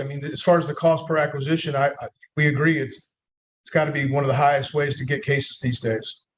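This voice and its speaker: Somewhat breathy, a man with an American accent talks at a fairly high pitch and a fairly quick pace. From North Carolina, USA. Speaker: marketing executive, agency founder. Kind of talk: podcast interview answer.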